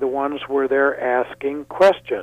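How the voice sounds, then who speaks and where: Talking at a moderate pace, a man with a fairly high pitch uses an unremarkable speaking voice. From Thailand and US. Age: 50s. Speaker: creationist speaker. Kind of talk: radio interview.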